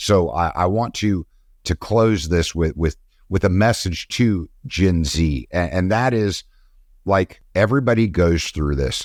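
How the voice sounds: In a very clean recording with a silent background and a dry, close sound with no echo, a man speaks at a low pitch and a fairly slow pace with lively intonation.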